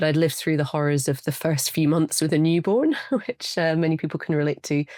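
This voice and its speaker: Speaking at a very fast pace with a Scottish accent, a woman uses a very deep, low pitch and a dark, mellow tone, keeping fairly even intonation and very even loudness. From Scotland. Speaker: studio potter. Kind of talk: interview answer.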